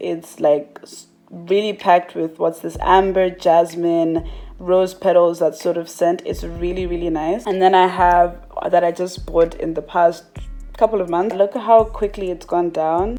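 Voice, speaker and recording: Monotone, flat intonation at a fairly slow pace over music in the background. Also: woman, fairly low pitch for a woman. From Malawi. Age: 20s. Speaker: beauty YouTuber. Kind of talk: casual talk to camera.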